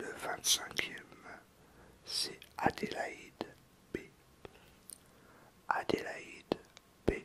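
A man whispers. His voice is soft-spoken. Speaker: youtuber thanking subscribers. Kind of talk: casual vlog chat. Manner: soft close ASMR whisper. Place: home room.

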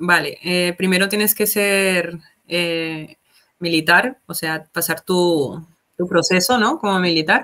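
A woman speaks at a very slow pace in a bright, sharp tone, her fairly low pitch held to fairly even intonation. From Colombia, Palmira (Valle del Cauca); Valle del Cauca, Colombia. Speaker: military corporal in an emergency unit; guest. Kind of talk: casual interview. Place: home room.

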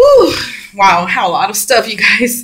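A woman's bright, sharp tone at a moderate pace against a quiet background. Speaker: beauty vlogger. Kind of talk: casual vlog chat. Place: bathroom. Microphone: phone near.

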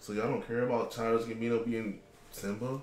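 A man speaks at a moderate pace, with audible room echo around him. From Florida. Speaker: gaming podcast host. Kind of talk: casual chat. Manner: animated. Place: home room.

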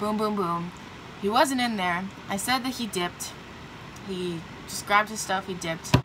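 Speaking at a medium pitch and a moderate pace, a woman uses ordinary pitch variation and takes long, frequent pauses amid noticeable background noise. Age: young. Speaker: vlogger. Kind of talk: casual talk to camera. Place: home room. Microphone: phone near.

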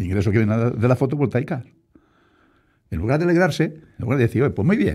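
Against a quiet background, a dark, mellow, somewhat breathy voice races at a very fast pace with very wide pitch swings and long, frequent pauses. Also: man. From Spain, Castilla-La Mancha (Puertollano). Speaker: local politician, deputy mayor. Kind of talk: radio interview. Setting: radio studio. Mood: defensive, argumentative. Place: studio. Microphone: studio mic.

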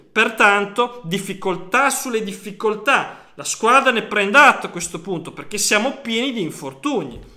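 Over a quiet background, a man with a high pitch and a bright, sharp tone uses a raised, projected voice at a moderate pace, with ordinary pitch variation and hardly any pauses. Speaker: football fan youtuber. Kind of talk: casual monologue commentary. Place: home room. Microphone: phone near.

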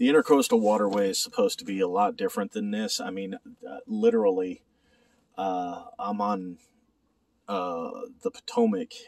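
The voice moves at a moderate pace, and the sound is dry with no echo. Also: man. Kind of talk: casual vlog chat. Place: boat. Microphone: phone near.

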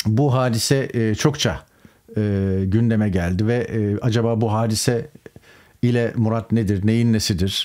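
Over a quiet background, a man talks at a fairly slow pace with very even loudness and fairly even intonation. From Turkey. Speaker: political commentator, journalist. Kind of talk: political news commentary monologue. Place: home room.

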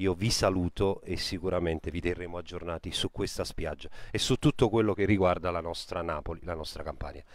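Dry and free of echo, a man's voice runs at a fairly quick pace with a very deep, low pitch and ordinary pitch variation. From Campania, Italy. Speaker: web TV reporter. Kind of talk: on-location live report. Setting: outdoors on a beach. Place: beach. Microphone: handheld.

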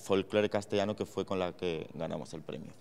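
A man's fairly low, flat, monotone voice. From Spain, Extremadura (Cáceres); Extremadura, Spain. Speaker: fashion creative director; guest. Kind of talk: lecture. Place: hall. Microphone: handheld.

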